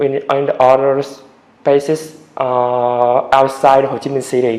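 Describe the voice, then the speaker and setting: Noticeable background noise sits behind a man with a medium pitch. He talks at a fairly slow pace with monotone, flat intonation. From Vietnam, Da Nang. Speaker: English learner, test candidate. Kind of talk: speaking exam interview. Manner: halting, many hesitations.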